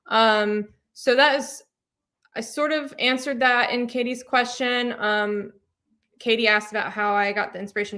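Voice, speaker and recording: A woman's fairly high-pitched voice with a bright, sharp tone, ordinary pitch variation and an American accent, on a very clean recording with a silent background. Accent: slight Southern accent, mostly suppressed. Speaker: cat adventure channel host. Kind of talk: live Q&A stream. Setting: livestream. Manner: casual, many filler ums.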